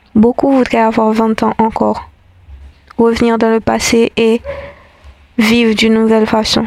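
A woman's fairly high, monotone, flat voice at a fairly slow pace, with long, frequent pauses, very even loudness, and noticeable background noise. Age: 20s. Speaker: spoken-word essayist. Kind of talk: reflective scripted monologue.

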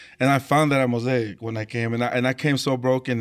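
A man in a Tongan accent speaks at a moderate pace on a very clean recording with a silent background. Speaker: worship leader, singer. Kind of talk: casual chat.

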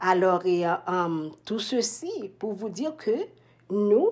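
A woman with a dark, mellow tone. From Haiti. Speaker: nurse. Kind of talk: testimony. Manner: halting.

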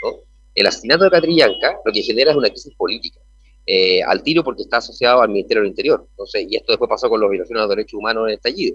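A man speaks at a very fast pace with a Chilean accent. The sound is dry and close, without echo. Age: 40s. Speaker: senate candidate. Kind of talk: radio interview. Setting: remote connection from an event venue. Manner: halting, many repetitions.

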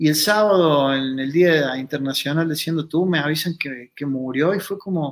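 In a very clean recording with a silent background, a man speaks fairly slowly at a fairly high pitch with ordinary pitch variation. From Argentina, Río Cuarto, Córdoba. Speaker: consciousness workshop facilitator, former kickboxer. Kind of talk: casual interview.

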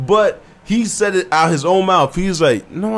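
Noticeable background noise runs under the recording. A man speaks in a high voice with ordinary pitch variation. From New Jersey, Willingboro (from age 13), Haitian family. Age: 20s. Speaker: rapper. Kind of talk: casual chat.

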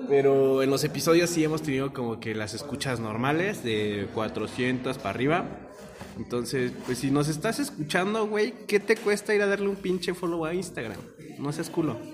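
Speaking in a Mexican accent, a man with a fairly high pitch and very wide pitch swings talks at a moderate pace amid noticeable background noise and audible room echo. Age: 20s. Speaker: podcast host. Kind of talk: casual chat.

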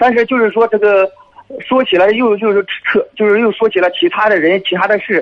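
A high-pitched man's voice at a fairly quick pace, with ordinary pitch variation and very even loudness. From Shandong, Dezhou. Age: 30s. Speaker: military officer calling in for advice. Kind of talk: call-in advice conversation.

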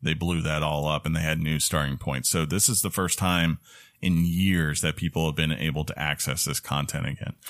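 A man speaks at a moderate pace in a very deep, low voice with vocal fry and fairly even intonation. His loudness stays very even, and the recording is very clean with a silent background. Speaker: gaming podcast host. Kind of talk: casual chat.

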